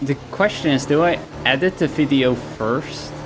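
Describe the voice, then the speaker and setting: A man in a Dutch accent, with music in the background. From Netherlands. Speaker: streamer. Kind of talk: casual chat. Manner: halting.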